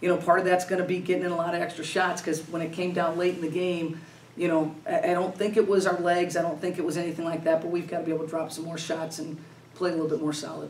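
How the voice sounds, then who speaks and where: A woman with a fairly low voice talks very fast in a monotone, flat delivery, with light background noise and audible room echo. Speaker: basketball head coach. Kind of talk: interview answer. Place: meeting room. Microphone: camera far.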